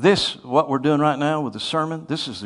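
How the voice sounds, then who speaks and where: A man with an American accent speaks in a normal speaking voice, fairly high-pitched and at a fairly slow pace. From US Northeast. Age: 50s. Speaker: preacher. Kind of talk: sermon.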